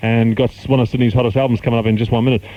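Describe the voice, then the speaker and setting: A man speaking over noticeable background noise. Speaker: radio DJ. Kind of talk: radio DJ talk and traffic report.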